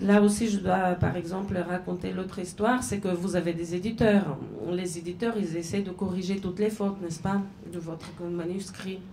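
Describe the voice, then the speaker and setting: Amid audible room echo, a woman speaks at a medium pitch and moderate pace in a monotone, flat intonation. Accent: Bulgarian. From Bulgaria, Sofia. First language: Bulgarian (speaking French). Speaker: novelist and journalist. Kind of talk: literary talk with audience. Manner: halting, many hesitations.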